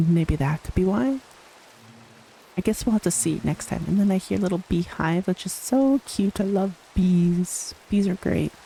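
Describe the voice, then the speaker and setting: Soft-spoken and relaxed in tone, the speaker talks at a fairly slow pace. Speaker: gaming video creator. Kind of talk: voice-over gameplay commentary. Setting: voice-over recorded after gameplay.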